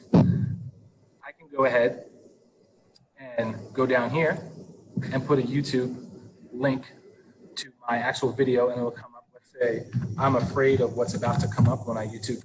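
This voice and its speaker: A man speaks at a moderate pace and medium pitch, his intonation monotone and flat, with long, frequent pauses. His loudness swings widely, and room echo is audible. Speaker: teacher leading staff training. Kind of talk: online training tutorial. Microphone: laptop built-in mic, breaking up.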